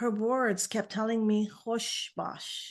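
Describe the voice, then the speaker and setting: A very slow woman's voice, fairly high in pitch, with a Persian accent. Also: quiet background. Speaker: naturopathic physician. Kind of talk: interview. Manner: halting.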